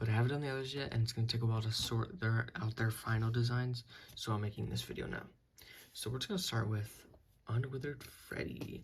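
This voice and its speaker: Quietly and very fast, a man talks in a somewhat breathy voice with fairly even intonation. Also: medium pitch for a man. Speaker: toy customizer reviewing own figures. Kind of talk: product review. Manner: halting, many fillers.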